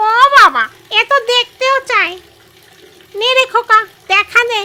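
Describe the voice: A woman's put-on character voice, extremely high in pitch, at a moderate pace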